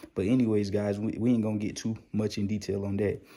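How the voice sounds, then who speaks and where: In a very clean recording with a silent background, a man speaks quietly at a moderate pace, his fairly low pitch held in a monotone, flat intonation with a dark, mellow tone. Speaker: YouTube stock market commentator. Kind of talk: casual vlog commentary. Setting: at home, child sleeping. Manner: quiet, inside voice.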